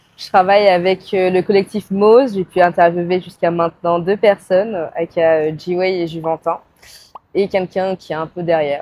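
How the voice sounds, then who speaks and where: A woman speaks at a medium pitch with fairly even intonation. Her loudness swings widely, in an unremarkable speaking voice. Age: 20s. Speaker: photographer. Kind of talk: casual interview. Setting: podcast recording.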